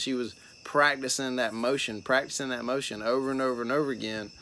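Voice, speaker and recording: This man's voice sits mid-range. He talks at a moderate speed. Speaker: fitness coach, gym owner. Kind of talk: casual member update video. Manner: soft-spoken.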